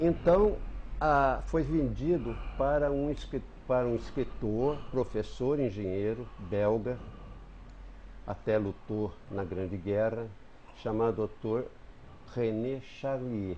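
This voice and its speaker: A man speaks at a very slow pace, leaving long, frequent pauses. His tone is dark and mellow. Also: medium pitch for a man, ordinary pitch variation. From southern Minas Gerais, Brazil. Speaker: writer and retired teacher. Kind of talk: TV interview, reminiscing. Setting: TV studio. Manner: halting with self-corrections.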